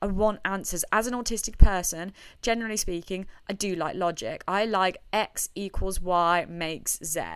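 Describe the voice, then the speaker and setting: Very clean with a silent background, the recording carries a woman in an ordinary speaking voice at medium pitch, moderate pace and fairly even intonation. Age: 20s. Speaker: podcast host. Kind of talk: casual solo monologue.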